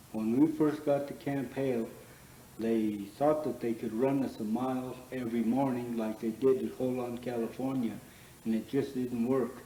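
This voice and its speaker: A man with an American accent at medium pitch, moderate pace and monotone, flat intonation, against noticeable background noise. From Leadville, Colorado. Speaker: war veteran; bar owner. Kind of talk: interview answer.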